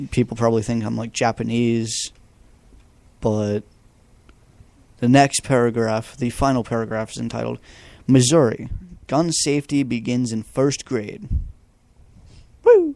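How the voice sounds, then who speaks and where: The speaker moves at a fairly slow pace with long, frequent pauses, a dark, mellow tone and fairly even intonation. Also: man, medium pitch for a man. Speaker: amateur news podcaster. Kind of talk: reading news articles aloud with commentary. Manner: stuttering, halting reading; casual, profane ranting.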